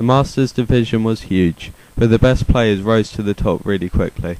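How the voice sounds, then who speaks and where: Talking at a moderate pace, a man with a British accent uses a fairly low pitch and fairly even intonation. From United Kingdom. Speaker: card game video host. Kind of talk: scripted commentary video.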